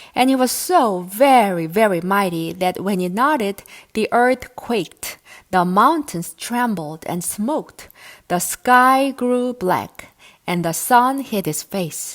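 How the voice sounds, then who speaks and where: Speaking at a very slow pace, a woman with an American accent uses lively intonation. Her pitch sits in the medium range. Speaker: English teacher. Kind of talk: audiobook reading of myths.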